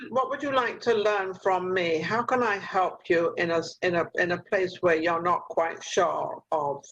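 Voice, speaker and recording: Her loudness very even, a woman speaks at a medium pitch and a fairly slow pace, with hardly any pauses. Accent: English. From England. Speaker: talk show host. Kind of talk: interview. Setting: video call.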